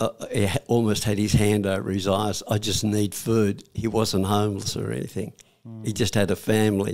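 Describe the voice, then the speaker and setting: Speaking with an Australian accent, a man keeps a fairly low pitch, fairly even intonation and a moderate pace. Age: 80s+. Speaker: war veteran. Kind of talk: interview answer. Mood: warm, reflective. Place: studio. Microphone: studio mic.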